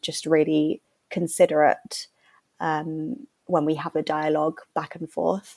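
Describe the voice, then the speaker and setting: At a fairly slow pace, a woman with a London accent speaks in a dry, close sound with no echo, on a very clean recording with a silent background. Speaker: charity worker and fashion content creator. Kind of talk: panel podcast interview.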